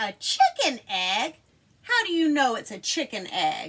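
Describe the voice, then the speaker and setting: In a put-on character voice that sounds female, the speaker goes at a fairly slow pace, pitched high and swinging very widely in pitch. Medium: read story.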